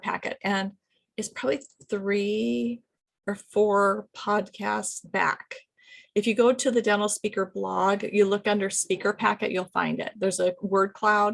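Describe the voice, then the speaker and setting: A woman is speaking. Her pitch is medium. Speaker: business consultant and podcast host. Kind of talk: solo video podcast, advice talk. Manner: fast; casual, many fillers.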